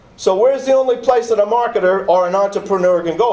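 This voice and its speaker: Noticeable background noise and audible room echo surround a man speaking at a fairly quick pace. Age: 60s. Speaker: professor. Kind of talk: lecture. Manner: energetic.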